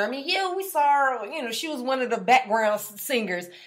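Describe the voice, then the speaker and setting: A woman with a high pitch and an animated tone makes very wide pitch swings, with audible room echo and noticeable background noise. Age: 30s. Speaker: podcast co-host. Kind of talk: casual chat.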